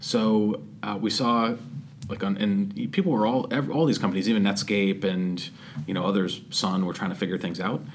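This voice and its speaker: Audible room echo surrounds a man speaking with an American accent. His pitch is fairly low, with ordinary variation, at a moderate pace. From Massachusetts (Andover). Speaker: tech startup founder and CEO. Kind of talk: casual interview.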